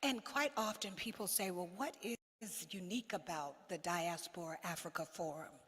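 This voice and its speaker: With lively intonation and hardly any pauses, a woman speaks at a moderate pace in a fairly low pitch. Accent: American. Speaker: diplomat, head of diaspora organization. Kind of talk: conference speech. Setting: stage with audience at summit.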